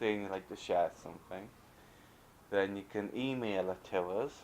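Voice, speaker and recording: The man's voice sits at a fairly low pitch, and his pace is moderate. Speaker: knitting video host. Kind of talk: casual video chat. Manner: halting.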